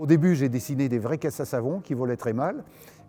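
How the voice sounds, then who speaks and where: A man with a fairly high pitch, dark and mellow tone, ordinary pitch variation and a fairly quick pace. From Paris region, France. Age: 80s+. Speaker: retired aerobatic pilot. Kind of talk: interview testimony. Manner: hesitant, many fillers.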